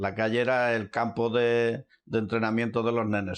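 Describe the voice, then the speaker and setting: A man's intonation stays monotone and flat, with a quiet background behind him. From Andalusia, Córdoba province. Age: 70s. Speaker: oral history witness. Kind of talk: oral history testimony.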